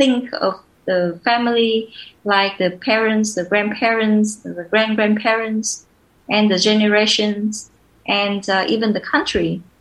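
A woman speaks with a Vietnamese accent at a medium pitch. Her intonation stays fairly even. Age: 20s. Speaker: social entrepreneur. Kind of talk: interview conversation. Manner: halting, many fillers.

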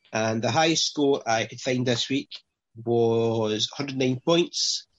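In a Scottish accent, a man speaks at a very slow pace with a medium pitch and fairly even intonation. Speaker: fantasy football podcast host. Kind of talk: casual chat.

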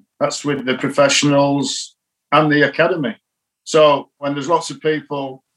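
Talking at a moderate pace, a man with a Yorkshire accent has a fairly high pitch. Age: 60s. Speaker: cricket coach. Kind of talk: interview. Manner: calm.

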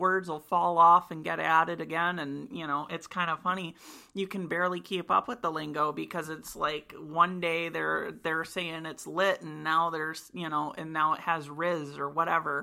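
With an American accent, a woman speaks at a moderate pace with hardly any pauses, her bright, sharp tone fairly low in pitch with ordinary pitch variation, on a very clean recording with a silent background. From US Midwest, Michigan. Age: 20s. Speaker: college student. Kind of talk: casual chat. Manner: hesitant, many fillers.

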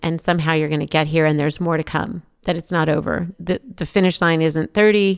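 A woman's unremarkable speaking voice, fairly low in pitch, at a moderate pace, dry and close with no echo, in a very clean recording with a silent background. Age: 50s. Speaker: podcast host. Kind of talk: interview.

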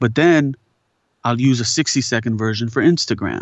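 A man talks with ordinary pitch variation. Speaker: voiceover actor and poet. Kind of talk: casual chat. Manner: reflective, with long pauses.

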